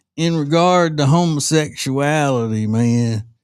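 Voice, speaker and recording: Drawling at a fairly slow pace, a put-on character voice in a Southern US accent comes through on a very clean recording with a silent background. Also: man, fairly high pitch for a man. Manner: lazy stoner drawl.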